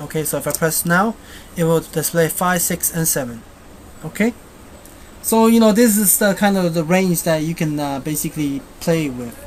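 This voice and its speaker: Noticeable background noise sits behind a woman with a Chinese accent. She speaks at a moderate pace with a fairly low pitch and ordinary pitch variation. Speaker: software tutorial maker. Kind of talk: screencast tutorial. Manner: halting, many fillers; casual.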